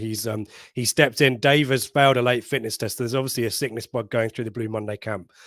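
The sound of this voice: A man speaks at a fairly quick pace with a medium pitch and a fairly bright tone. His intonation is fairly even, and the sound is dry and close with no echo.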